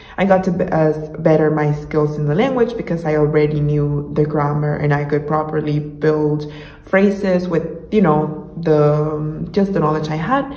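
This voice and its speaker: With noticeable background noise and audible room echo, a woman in a Spanish accent speaks at a very deep, low pitch with fairly even intonation. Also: moderate pace. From Mexico, Monterrey. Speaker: YouTuber, language learner. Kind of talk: casual vlog talk.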